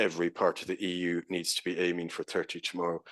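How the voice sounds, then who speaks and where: In an Irish accent, a man talks at a fairly quick pace with a very deep, low pitch. The sound is dry and close with no echo, over a quiet background. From Ireland. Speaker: professor. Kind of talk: conference presentation.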